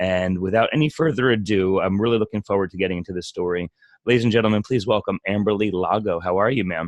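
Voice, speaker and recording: A man's fairly low voice at a very fast pace, with ordinary pitch variation, a slight New Jersey accent, and a dry, close sound with no echo. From New Jersey Shore. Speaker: podcast host. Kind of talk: interview.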